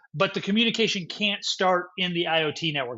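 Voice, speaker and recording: Over a quiet background, a man talks at a fairly quick pace. His pitch is high, with ordinary variation. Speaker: tech YouTuber. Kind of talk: tutorial. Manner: fast. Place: home room.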